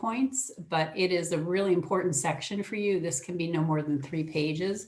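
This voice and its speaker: A woman speaks at a fairly quick pace with a medium pitch. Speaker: early education technical assistance presenter. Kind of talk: webinar presentation. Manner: fast.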